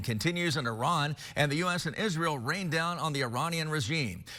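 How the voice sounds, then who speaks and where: A man's fairly high voice has a bright, sharp tone with vocal fry. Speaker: TV news anchor. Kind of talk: TV news anchor read.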